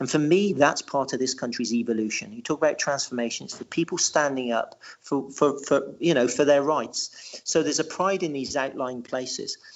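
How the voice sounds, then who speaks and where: Speaking with an English accent, a man keeps a moderate pace with hardly any pauses. His pitch is fairly high and varies in an ordinary way. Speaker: writer and local historian. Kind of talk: podcast interview. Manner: halting, with many repetitions.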